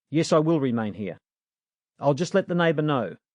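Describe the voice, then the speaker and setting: Putting on a growling character voice, a man speaks at a moderate pace with a fairly high pitch and lively intonation against a quiet background. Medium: read story. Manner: concise, composed.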